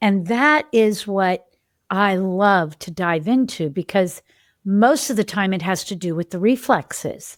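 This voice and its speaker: Captured in a very clean recording with a silent background, a woman with an ordinary speaking voice and a medium pitch speaks at a fairly slow pace with lively intonation. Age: 60s. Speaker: developmental health practitioner and podcast host. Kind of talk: casual podcast monologue. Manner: conversational, with self-interruptions and repetitions.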